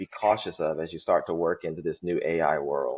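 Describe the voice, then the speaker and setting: A man with a Southern US accent, in a dry, close sound with no echo. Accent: Southern drawl. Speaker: healthcare IT director. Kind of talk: podcast interview.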